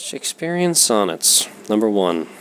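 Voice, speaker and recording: Noticeable background noise accompanies a man speaking at a fairly slow pace with lively intonation. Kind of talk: poetry reading.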